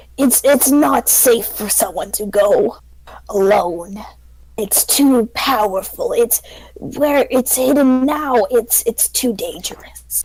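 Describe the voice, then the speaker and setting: This is a put-on character voice that sounds female, high in pitch for a woman. It moves at a fairly slow pace. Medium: actual play. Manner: confiding, evasive.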